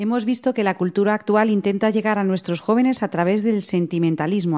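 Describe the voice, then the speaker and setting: A woman with a dark, mellow tone talks at a fairly quick pace with ordinary pitch variation. The background is quiet. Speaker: radio host. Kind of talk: radio magazine presenting.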